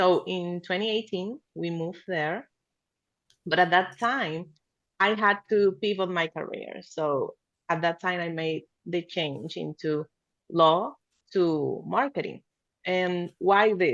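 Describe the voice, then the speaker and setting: A woman's very slow, fairly low-pitched speech in a Spanish accent, with long, frequent pauses and ordinary pitch variation. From Venezuela. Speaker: marketing agency founder. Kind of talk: podcast interview.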